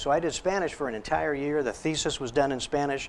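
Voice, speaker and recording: This man has a plain, everyday voice with an American accent and fairly high pitch. He talks at a moderate pace. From Texas border. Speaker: psychologist. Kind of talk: lecture.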